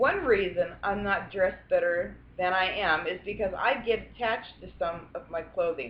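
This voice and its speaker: A woman's medium-pitched voice at a moderate pace with hardly any pauses, big swings in loudness and ordinary pitch variation, over noticeable background noise. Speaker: grandmother. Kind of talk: read story.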